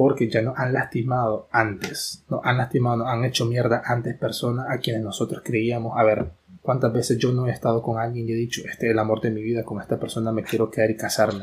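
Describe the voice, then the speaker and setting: A man talks at a fairly quick pace with hardly any pauses. His medium-pitched delivery is monotone and flat. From Nicaragua (Managua). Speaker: podcast co-host. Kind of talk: casual chat.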